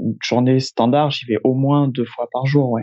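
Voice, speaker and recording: Here a man talks at a fairly slow pace. His intonation is monotone and flat. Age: 20s. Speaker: airline pilot. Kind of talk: interview.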